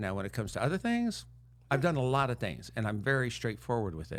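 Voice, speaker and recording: Recorded very cleanly against a silent background, a man speaks at a very fast pace. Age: 60s. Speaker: mental health coach. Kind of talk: casual chat.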